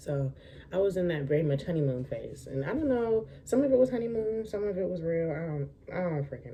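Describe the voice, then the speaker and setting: A woman's fairly low, somewhat breathy voice at a fairly quick pace, with very wide pitch swings. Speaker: lifestyle vlogger. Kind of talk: storytime vlog. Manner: casual, halting.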